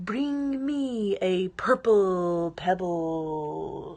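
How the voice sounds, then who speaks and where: Over a quiet background, someone performs a put-on character voice at a middle pitch. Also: female-sounding voice. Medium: read story.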